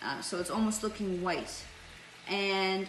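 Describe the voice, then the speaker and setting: A woman's medium-pitched voice, fairly slow, ordinary pitch variation, with audible room echo and noticeable background noise. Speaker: cooking channel host, chef. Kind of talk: cooking tutorial.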